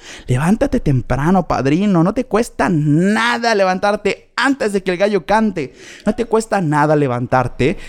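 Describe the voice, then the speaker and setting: A man speaks at a fairly slow pace in a high pitch. His tone is animated, with very wide pitch swings. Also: very even loudness. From Mexico, Chetumal, Quintana Roo. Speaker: podcast host. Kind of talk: casual monologue.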